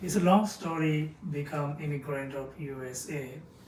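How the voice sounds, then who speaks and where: Amid noticeable background noise and audible room echo, a man with a Bengali accent talks at a fairly high pitch with ordinary pitch variation. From Bangladesh, Dhaka. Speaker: chemist, podcast guest. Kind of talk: interview. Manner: hesitant.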